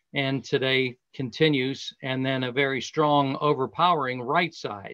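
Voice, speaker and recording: A man speaks with an American accent at a fairly slow pace. His tone is bright and sharp, and his pitch fairly high. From US Northeast (western Pennsylvania, Latrobe). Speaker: golf professional. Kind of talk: casual talk. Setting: video call.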